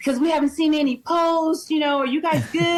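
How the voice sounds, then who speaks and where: Her voice high in pitch, a woman talks with lively intonation and a slight Wisconsin accent. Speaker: reality show contestant. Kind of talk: interview.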